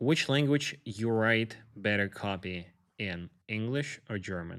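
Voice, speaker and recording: A man's fairly low voice in a Russian accent, very slow, with ordinary pitch variation. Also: very clean recording, silent background. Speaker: podcast host. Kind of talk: podcast interview.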